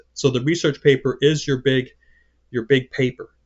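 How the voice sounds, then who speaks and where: A man speaks with monotone, flat intonation. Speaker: college English instructor. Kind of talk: recorded class video lecture. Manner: fast; halting, many repeated words.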